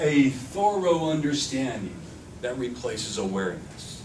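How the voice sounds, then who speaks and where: A man with a fairly high pitch makes very wide pitch swings, heard with audible room echo and noticeable background noise. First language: Spanish. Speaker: workshop instructor. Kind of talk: workshop lecture.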